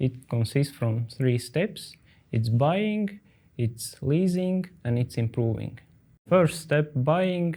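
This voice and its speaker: A man speaks with a dark, mellow tone and lively intonation. The recording is very clean, with a silent background. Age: 40s. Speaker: company founder. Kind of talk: interview. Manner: hesitant, many filler sounds.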